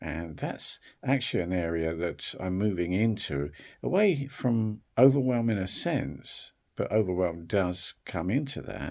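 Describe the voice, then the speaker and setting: With lively intonation and a very deep, low pitch, a man talks fairly slowly in a very clean recording with a silent background. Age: 60s. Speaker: wellbeing video creator. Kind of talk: reflective talk to camera. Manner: hesitant, with fillers.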